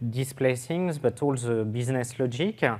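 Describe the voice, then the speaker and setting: A man with a French accent talks at a fairly slow pace with lively intonation. The recording is very clean, with a silent background. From France, French Riviera. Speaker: software developer, conference speaker. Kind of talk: technical conference talk. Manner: hesitant with fillers.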